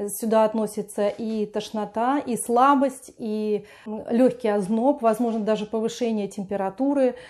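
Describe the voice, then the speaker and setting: Fairly slow female speech with fairly even intonation, set against a quiet background. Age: 50s. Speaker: lifestyle vlogger. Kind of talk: video blog monologue. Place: home room. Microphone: lapel.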